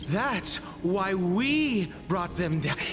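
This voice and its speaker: The speaker uses a put-on character voice. Loud background noise runs behind it. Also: man, high pitch for a man. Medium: video game. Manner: earnest, urgent.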